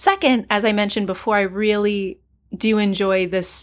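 A woman with an unremarkable speaking voice speaks at a medium pitch and a moderate pace, with fairly even intonation. The recording is very clean, with a silent background. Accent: American. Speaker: poetry podcast host. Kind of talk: casual commentary.

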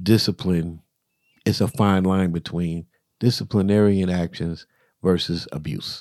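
A man with a very deep, low pitch talks at a fairly slow pace with fairly even intonation and long, frequent pauses, recorded very cleanly against a silent background with a dry, close sound and no echo. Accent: American. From US South. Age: 50s. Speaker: podcast co-host. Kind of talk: casual chat.

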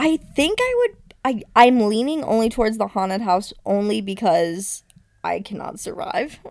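A woman's fairly high-pitched voice, lively in intonation, at a moderate pace. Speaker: podcast co-host. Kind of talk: casual chat. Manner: loud; frequent laughter.

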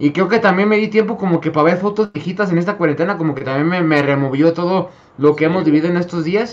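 Over noticeable background noise, a man talks at a very fast pace and a high pitch. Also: ordinary pitch variation. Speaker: podcast panel member. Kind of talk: casual chat.

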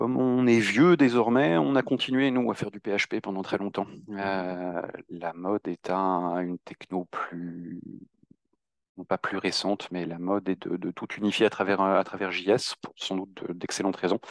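A plain, everyday voice from a man, fairly low in pitch with ordinary pitch variation, dry and close with no echo against a quiet background. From Normandy, France. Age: 40s. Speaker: web agency founder. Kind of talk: interview.

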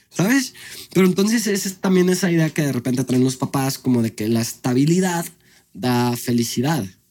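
Speaking at a moderate pace, a man uses a fairly high pitch. His pitch swings very widely. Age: 30s. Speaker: restaurant owner and content creator. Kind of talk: casual chat. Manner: animated.

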